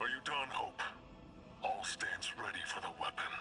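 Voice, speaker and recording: Extremely high pitch for a man in a put-on character voice, delivered at moderate speed. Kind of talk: formal regal speech. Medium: video game.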